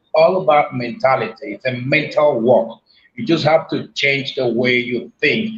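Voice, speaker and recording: The speaker goes at a fairly slow pace, somewhat breathy. The intonation is lively, and loudness swings widely. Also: man, fairly high pitch for a man. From Nigeria. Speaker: motivational speaker. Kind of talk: interview.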